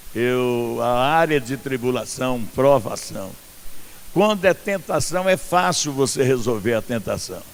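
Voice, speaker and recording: The intonation is lively. The pace is very slow. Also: man. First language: not Portuguese (speaking Portuguese). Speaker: pastor. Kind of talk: sermon. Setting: outdoor church event with congregation.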